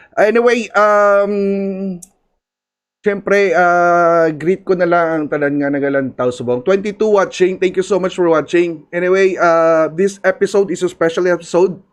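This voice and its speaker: Speaking at a moderate pace in a Filipino accent, a man uses a high pitch with ordinary pitch variation. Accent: Filipino (Hiligaynon) English. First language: Hiligaynon (Ilonggo). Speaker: podcast host. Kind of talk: live stream chat with shout-outs. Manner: hesitant, many fillers.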